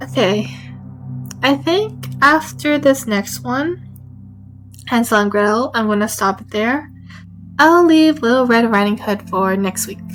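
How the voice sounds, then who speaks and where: A soft-spoken woman with a fairly high pitch speaks at a fairly slow pace with long, frequent pauses. Her pitch swings very widely and her loudness shifts a lot, with music in the background. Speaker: streamer reading stories aloud. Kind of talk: casual chat. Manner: halting.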